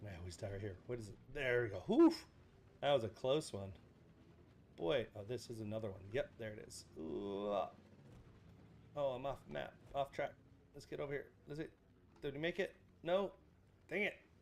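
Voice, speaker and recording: A man's medium-pitched voice with vocal fry, very wide pitch swings, big swings in loudness, a moderate pace and long, frequent pauses. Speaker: livestreamer playing a video game. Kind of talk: casual livestream chat. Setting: livestream with voice chat.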